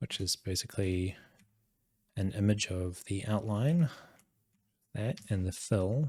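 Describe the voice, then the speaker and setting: The voice has a dark, mellow tone and is somewhat breathy. It moves at a fairly slow pace with long, frequent pauses. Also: man, fairly low pitch for a man. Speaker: game developer streamer. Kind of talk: live coding stream. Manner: monotone; casual, thinking aloud.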